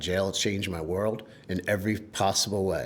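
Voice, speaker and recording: A man's very deep, low voice at a moderate pace. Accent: American. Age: 50s. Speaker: recovering alcoholic sharing his story. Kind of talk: interview testimony. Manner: halting.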